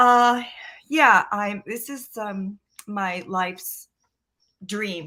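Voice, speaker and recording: This woman speaks at a very slow pace. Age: 60s. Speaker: stage actor. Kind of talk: interview.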